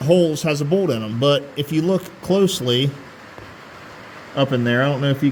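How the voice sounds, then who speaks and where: Fairly high-pitched man at a moderate pace, ordinary pitch variation and noticeable background noise. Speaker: tractor restoration vlogger. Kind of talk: casual how-to vlog. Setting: under a tractor in a garage. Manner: loud, talking over rain.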